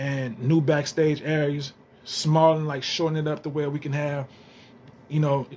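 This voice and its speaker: This man's voice is fairly high in pitch and somewhat breathy. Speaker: gaming YouTuber. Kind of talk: casual vlog commentary. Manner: fast; animated.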